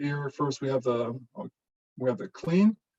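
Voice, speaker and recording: A man talks in a dark, mellow tone that is somewhat breathy. His pace is moderate and his pitch variation ordinary. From Germany. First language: German. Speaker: professor. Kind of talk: lecture.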